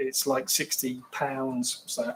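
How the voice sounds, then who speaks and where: Music is heard in the background. The talking proceeds at a fairly slow pace. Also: man. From London, England. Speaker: live streamer. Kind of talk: casual live stream chat. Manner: rambling, halting.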